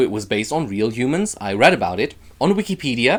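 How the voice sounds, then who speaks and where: A man speaks with a German accent at a moderate pace. The recording is very clean, with a silent background. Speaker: YouTuber. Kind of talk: casual vlog.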